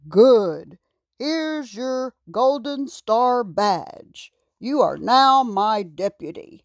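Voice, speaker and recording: A woman puts on a character voice with a high pitch. She speaks at a very slow pace against a quiet background. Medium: read story. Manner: warm, commanding, reassuring.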